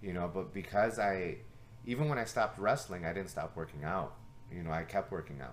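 Fairly quickly, a man talks with lively intonation. His very deep, low pitch carries vocal fry. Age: 30s. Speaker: martial arts coach and podcast host. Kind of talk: casual chat.

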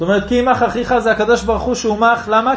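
Noticeable background noise and audible room echo surround a man speaking at an extremely high pitch. His tone is animated and his pace fairly quick. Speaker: rabbi giving Torah classes. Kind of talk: Torah lecture with audience discussion. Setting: class in a private home.

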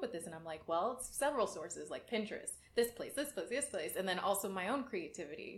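Over noticeable background noise, a woman talks very fast at a medium pitch with lively intonation. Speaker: podcast host. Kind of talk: casual interview chat.

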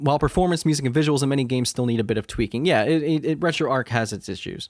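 A man talks very fast at a medium pitch, with ordinary pitch variation. The recording is very clean with a silent background and a dry, close sound with no echo. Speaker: gaming news podcast host. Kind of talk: casual chat. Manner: animated.

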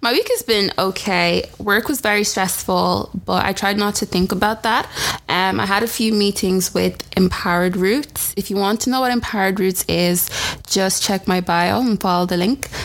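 A woman of medium pitch speaks at a moderate pace with fairly even intonation and very even loudness, over noticeable background noise. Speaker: podcast co-host. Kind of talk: casual chat.

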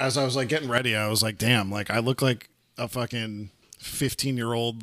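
A man with a normal speaking voice talks at a moderate pace. His pitch is medium and his intonation fairly even. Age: 30s. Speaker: podcast co-host. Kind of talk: casual chat.

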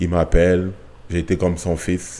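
A man speaks at a fairly slow pace in a very deep, low voice with a dark, mellow tone. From Cameroon. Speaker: retired soccer player. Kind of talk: casual interview. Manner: halting, with repetitions.

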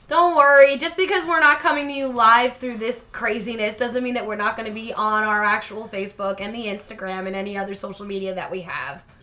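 Over noticeable background noise, a woman talks at a fairly quick pace with a fairly high pitch, lively intonation and big swings in loudness. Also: hardly any pauses. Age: 30s. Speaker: podcast co-host. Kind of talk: casual chat.

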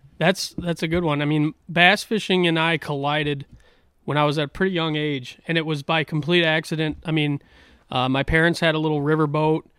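A man with an American accent talks at a fairly quick pace in a fairly high pitch, his intonation monotone and flat. The sound is dry and close with no echo, in a very clean recording with a silent background. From upper Midwest, La Crosse area, Wisconsin. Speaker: tournament bass angler. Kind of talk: casual chat. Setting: studio.

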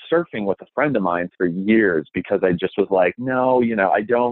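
With an American accent, a man has an unremarkable speaking voice, a fairly low pitch and ordinary pitch variation. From Minnesota, Minneapolis suburbs. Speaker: TV host. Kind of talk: interview.

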